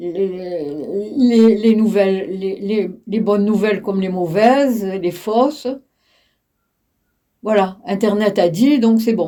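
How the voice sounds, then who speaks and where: With long, frequent pauses, a woman speaks very slowly in a dark, mellow tone with ordinary pitch variation. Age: 80s+. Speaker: retired teacher. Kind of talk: interview. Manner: halting.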